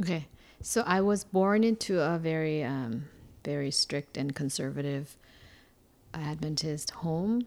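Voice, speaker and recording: Speaking in a Korean accent, a woman talks at a fairly slow pace with long, frequent pauses. Her voice is very deep and low yet her intonation is lively, on a very clean recording with a silent background. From Seoul, South Korea. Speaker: churchgoer. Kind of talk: interview.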